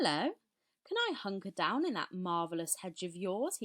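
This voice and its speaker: A female-sounding, croaky put-on character voice at a medium pitch moves at a moderate pace. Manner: loud, cheerful.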